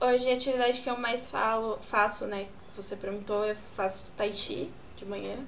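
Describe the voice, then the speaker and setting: A woman with a fairly high pitch and fairly even intonation is heard against noticeable background noise and audible room echo. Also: moderate pace. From São Paulo, Brazil. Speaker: podcast moderator, marketing staff. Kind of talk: live panel discussion.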